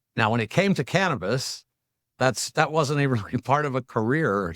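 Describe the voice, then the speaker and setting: A man of medium pitch speaks at a moderate pace with very wide pitch swings, in a very clean recording with a silent background and a dry, close sound with no echo. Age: 60s. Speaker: company CEO. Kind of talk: interview. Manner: halting.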